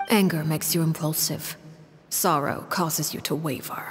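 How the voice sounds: At a fairly slow pace, a woman performs a put-on character voice that is low and has a husky, rough edge. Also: fairly even intonation.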